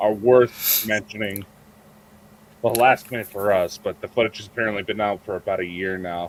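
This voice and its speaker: A man with an American accent has a fairly low pitch and an unremarkable speaking voice. He talks at a moderate pace with fairly even intonation and big swings in loudness. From United States. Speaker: podcast co-host. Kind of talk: casual chat.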